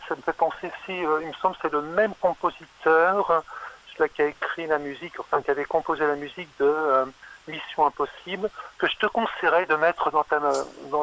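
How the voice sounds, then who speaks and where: At a moderate pace and with fairly even intonation, the voice has a dry, close sound with no echo, though noticeable background noise is present. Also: man. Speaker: caller. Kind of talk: casual chat. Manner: halting.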